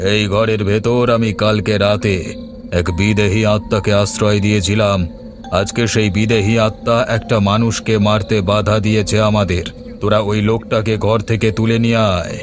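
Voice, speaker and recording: A man's cartoonish character voice, fairly low and menacing, at a moderate pace over loud music in the background. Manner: menacing, commanding.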